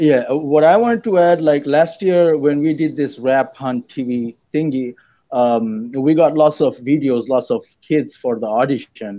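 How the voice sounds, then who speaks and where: A man's fairly high voice, dark and mellow in tone, at a fairly slow pace with ordinary pitch variation and a quiet background. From Dhaka, Bangladesh. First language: Bengali. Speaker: rapper. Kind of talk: casual chat.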